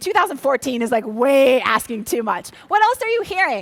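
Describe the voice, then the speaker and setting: Her pitch high and swinging very widely, a woman talks with an American accent. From Minnesota. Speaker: motivational speaker. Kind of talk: workshop talk to a live audience. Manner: animated.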